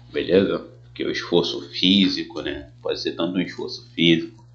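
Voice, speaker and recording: A man talks at a moderate pace. Audible echo fills the room. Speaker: teacher. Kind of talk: tutorial. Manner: casual.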